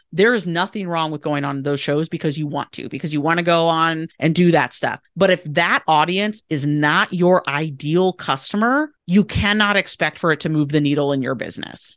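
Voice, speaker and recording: With an enthusiastic tone, a woman talks at a moderate pace with hardly any pauses. Her fairly low pitch shows ordinary variation over a quiet background. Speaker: PR agency owner. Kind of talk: interview. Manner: enthusiastic, conversational.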